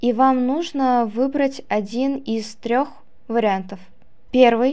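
Very slow pace with fairly even intonation. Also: woman. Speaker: student podcast host. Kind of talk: interview. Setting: studio.

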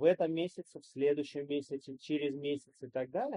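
This man has a plain, everyday voice, pitched fairly high. He talks at a moderate pace with fairly even intonation. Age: 40s. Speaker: entrepreneur and investor. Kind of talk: interview.

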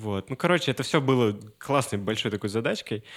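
In a very clean recording with a silent background and a dry, close sound with no echo, a man with a fairly low pitch talks at a very fast pace. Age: 20s. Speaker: musician. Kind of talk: casual chat. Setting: studio.

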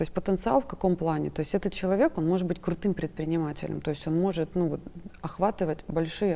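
Vocal fry runs through a woman's dark, mellow voice, pitched fairly low with ordinary pitch variation, on a very clean recording with a silent background. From Krasnodar, southern Russia. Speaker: businesswoman, podcast guest. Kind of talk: talk-show discussion. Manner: talkative.

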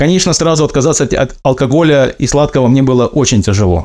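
Talking at a very fast pace, a man with a medium pitch and a dark, mellow tone uses ordinary pitch variation. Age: 30s. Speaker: former merchant sailor, ship mechanic. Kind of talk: recorded personal testimony.

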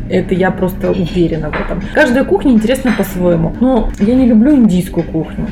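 Over noticeable background noise, a woman of medium pitch talks at a fairly quick pace with ordinary pitch variation. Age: 30s. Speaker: food technologist. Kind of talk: casual interview.

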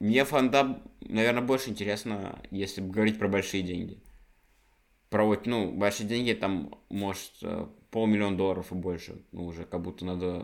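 A man speaks in a normal speaking voice, fairly low in pitch. His pitch varies in an ordinary way at a moderate pace. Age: 20s. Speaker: podcast co-host. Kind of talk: casual chat.

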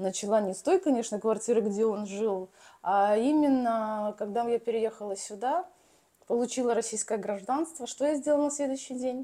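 A woman's fairly high voice with a dark, mellow tone, ordinary pitch variation and moderate pace, on a very clean recording with a silent background. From Belarus. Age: 40s. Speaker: real estate agent and developer. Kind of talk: casual interview.

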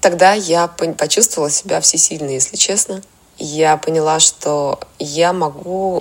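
A woman's fairly low voice moves very slowly, with ordinary pitch variation. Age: 30s. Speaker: makeup artist and stylist. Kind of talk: personal story.

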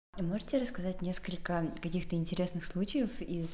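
Speaking at a moderate pace, a woman uses an unremarkable speaking voice with a fairly low pitch. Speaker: podcast host. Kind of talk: casual interview.

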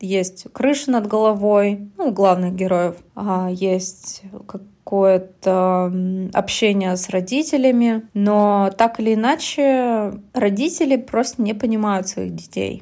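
A dark, mellow tone at a very slow pace, with ordinary pitch variation, in a very clean recording over a silent background. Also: woman, medium pitch for a woman. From Russia, Yekaterinburg. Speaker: podcast co-host. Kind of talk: casual chat.

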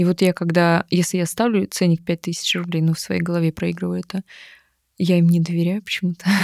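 Her voice fairly low and flat in a monotone, a woman speaks at a fairly quick pace in a dry, close sound with no echo. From Siberia, Irkutsk region (Bratsk). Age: 30s. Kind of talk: therapy consultation.

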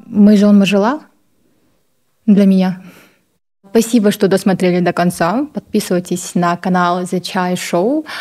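A woman speaks at a fairly slow pace with a medium pitch. Her speech has long, frequent pauses. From Kazakhstan, Baikonur. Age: young. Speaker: fashion blogger and model. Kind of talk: Q&A video interview.

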